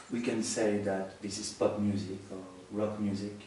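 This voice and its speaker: Spoken at a very slow pace in a monotone, flat delivery, the voice carries audible room echo over noticeable background noise. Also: man. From France. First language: French. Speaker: musician. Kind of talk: interview. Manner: halting.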